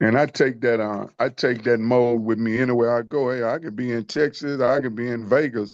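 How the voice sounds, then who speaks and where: An unremarkable speaking voice, a man's at medium pitch, keeps a fairly even intonation with hardly any pauses against a quiet background. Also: fairly quick pace. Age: 60s. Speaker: men's group member. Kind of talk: group discussion. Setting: video call.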